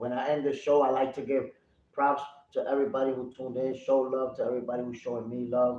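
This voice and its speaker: The man's pitch is medium. He speaks at a very fast pace. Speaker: livestream boxing commentator. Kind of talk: live commentary. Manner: animated; loud.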